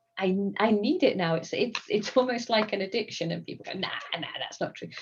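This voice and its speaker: A woman speaks with an English accent and lively intonation. Her loudness swings widely. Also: fairly high pitch for a woman, fairly quick pace. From England. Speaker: gym member, scientist. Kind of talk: casual interview chat.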